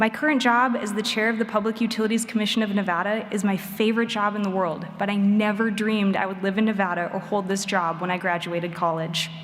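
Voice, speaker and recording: Someone with an American accent speaks at a very fast pace with fairly even intonation and hardly any pauses, over noticeable background noise and audible room echo. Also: woman, medium pitch for a woman. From Wisconsin. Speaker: commencement speaker, state utility regulator. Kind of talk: commencement speech. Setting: stage with audience.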